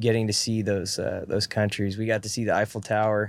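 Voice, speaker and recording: At a fairly quick pace, a man with an American accent speaks at a fairly low pitch in an unremarkable speaking voice. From northern California. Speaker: country musician. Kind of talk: casual chat. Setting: in a van.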